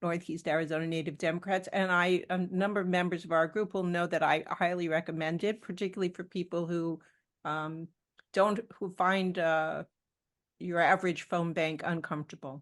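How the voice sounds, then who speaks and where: Over a quiet background, a woman speaks in a fairly low pitch with monotone, flat intonation. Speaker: volunteer phone banker. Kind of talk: panel interview. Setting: video call.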